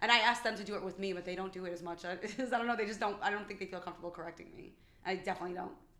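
A woman with a medium pitch talks at a very fast pace in a New York accent. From New York City (Bronx). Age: 40s. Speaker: podcast guest. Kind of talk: casual chat.

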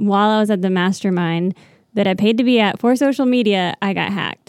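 A woman speaks at a moderate pace with fairly even intonation. She has a plain, everyday voice. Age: 30s. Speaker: business owner with an MBA. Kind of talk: casual chat.

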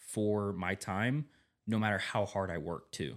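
With a fairly low pitch and ordinary pitch variation, a man talks in an ordinary speaking voice on a very clean recording with a silent background. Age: 20s. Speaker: podcast host. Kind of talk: casual chat.

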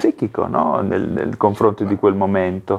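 This is a man talking at a moderate pace. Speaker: podcast host. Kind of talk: interview. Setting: live stream.

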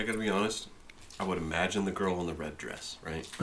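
A man's animated voice with audible room echo. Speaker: podcast host. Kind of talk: casual chat.

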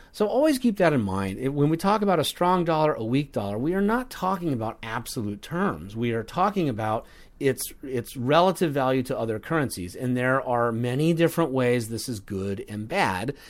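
In a very clean recording with a silent background, a man of medium pitch talks at a moderate pace, his pitch swinging very widely and hardly any pauses breaking his speech. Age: 50s. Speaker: investment newsletter writer and podcast host. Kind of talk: podcast Q&A answering listener questions. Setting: studio.

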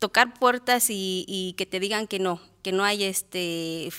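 A woman's bright, sharp voice of medium pitch with ordinary pitch variation, dry and close with no echo, on a very clean recording with a silent background. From Mexico, Morelos (born in Guerrero). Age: 30s. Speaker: ultramarathon runner. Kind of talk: interview. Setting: studio.

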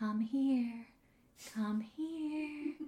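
A female-sounding, put-on character voice with an American accent as part of the act is pitched high. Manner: eerie, beckoning.

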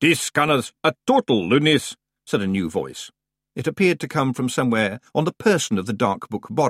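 Over quiet surroundings, the speaker uses a natural reading voice.

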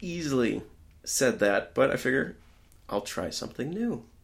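In a very clean recording with a silent background, a man with a fairly high voice and vocal fry speaks at a moderate pace, with very wide pitch swings and long, frequent pauses. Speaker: podcast guest. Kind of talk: casual chat.

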